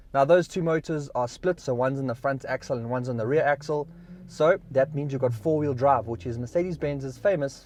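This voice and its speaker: This man's voice is a normal speaking voice, fairly high in pitch for a man, with ordinary pitch variation and a fairly quick pace. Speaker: car reviewer. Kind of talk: video review, talking while driving. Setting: inside a car.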